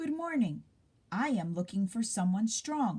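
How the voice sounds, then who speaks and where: A woman uses a put-on character voice at a fairly high pitch. She growls as she speaks. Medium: read story.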